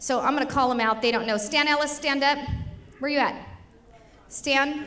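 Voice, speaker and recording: With audible room echo, a woman at high pitch speaks in an animated tone with ordinary pitch variation, very even loudness and long, frequent pauses. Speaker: state legislator. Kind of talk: political speech. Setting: stage with audience at dinner. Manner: fast.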